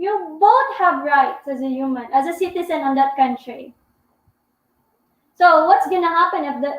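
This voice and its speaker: Loud and with lively intonation, a woman talks at an extremely high pitch, leaving long, frequent pauses. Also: moderate pace. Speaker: vlogger. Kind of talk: live stream Q&A chat. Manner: talkative.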